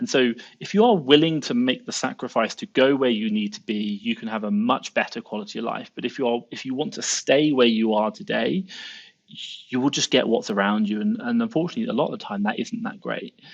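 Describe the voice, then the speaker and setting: Against a quiet background, a medium-pitched man with a southern English accent speaks at a fairly quick pace with very wide pitch swings. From southern England, Southampton. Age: 30s. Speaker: Amazon seller and entrepreneur. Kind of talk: podcast interview. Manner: animated.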